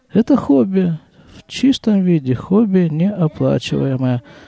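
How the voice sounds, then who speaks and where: A man speaks with a dark, mellow, relaxed tone and a somewhat breathy quality, at a fairly slow pace. His pitch swings very widely, and the sound is dry and close with no echo. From Krasnoyarsk, Siberia, Russia. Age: 50s. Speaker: podcaster. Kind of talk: solo monologue podcast, casual. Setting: home, family sounds in background. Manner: relaxed, conversational, reflective.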